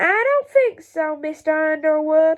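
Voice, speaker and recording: In a put-on character voice, a woman speaks at a moderate pace and an extremely high pitch, raised and projected, squeaky, with growling and hissing. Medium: read story. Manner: menacing, harsh.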